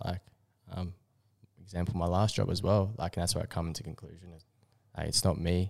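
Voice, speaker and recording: Very fast and flat, a man talks with an Australian accent at a very deep, low pitch. The recording is dry, close and very clean, with a silent background. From Australia, Queensland (Bribie Island). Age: 20s. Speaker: podcast co-host. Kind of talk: casual chat.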